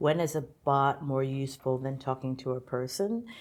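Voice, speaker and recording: A woman's voice has a very deep, low pitch and a dark, mellow tone. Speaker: technology executive. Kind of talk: interview. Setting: filmed interview. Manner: animated.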